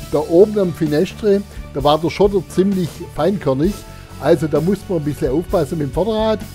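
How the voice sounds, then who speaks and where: Music plays in the background as a man speaks with a Swabian accent. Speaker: motorcycle tourer. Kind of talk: casual talk to camera while riding. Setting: outdoors, helmet intercom mic.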